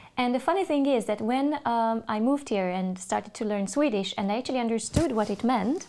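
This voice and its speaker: With a Hungarian accent, a woman talks fairly quickly with hardly any pauses, using lively intonation, a fairly high pitch and a dark, mellow tone, on a very clean recording with a silent background. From Hungary, Budapest. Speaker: English teacher. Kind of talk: interview. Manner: hesitant, many fillers.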